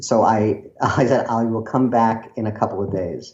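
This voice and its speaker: With an American accent, a man speaks at a fairly slow pace in a room with audible echo. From Brooklyn, New York. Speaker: screenwriter. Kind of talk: podcast interview storytelling. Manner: animated, with many fillers and restarts.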